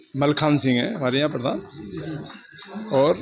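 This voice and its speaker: Music plays in the background behind a man's voice. His pitch is fairly high, with ordinary variation. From Uttar Pradesh, Mathura area. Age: 60s. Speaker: villager interviewed. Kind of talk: street interview.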